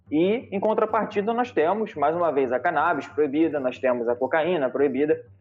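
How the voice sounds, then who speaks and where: Over noticeable background noise, a man with a fairly high pitch talks at a moderate pace with hardly any pauses, lively intonation and very even loudness. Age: 30s. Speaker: lawyer. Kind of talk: interview.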